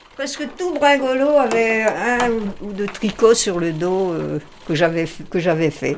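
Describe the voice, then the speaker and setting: A woman with a medium pitch speaks at a very slow pace, her voice making very wide pitch swings and big swings in loudness. Noticeable background noise is present. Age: 80s+. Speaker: former magazine reader. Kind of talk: interview.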